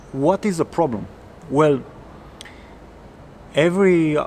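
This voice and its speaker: With a non-native accent, a man talks using lively intonation. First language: not English. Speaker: coding coach. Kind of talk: casual tutorial talk. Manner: halting, with self-corrections.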